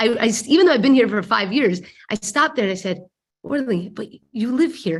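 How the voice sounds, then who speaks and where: A woman with a fairly high pitch talks at a fairly quick pace, her voice somewhat breathy and her intonation lively. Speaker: speaker. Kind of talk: talk to a women's group. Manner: halting with repetitions.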